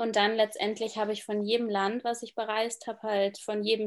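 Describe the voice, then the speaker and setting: There is an ordinary speaking voice from a woman with a fairly high pitch. She speaks at a moderate pace on a very clean recording with a silent background. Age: 20s. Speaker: travel and lifestyle blogger. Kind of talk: interview, casual chat.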